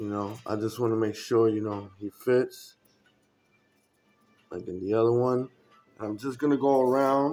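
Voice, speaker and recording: With music in the background, a man speaks at a moderate pace and medium pitch, with fairly even intonation and long, frequent pauses. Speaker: terrain crafting hobbyist. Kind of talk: casual crafting tutorial. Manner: casual, hesitant with fillers.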